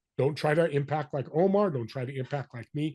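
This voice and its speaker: A somewhat breathy male voice. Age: 60s. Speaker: business connector and podcaster. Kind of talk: interview. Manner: animated.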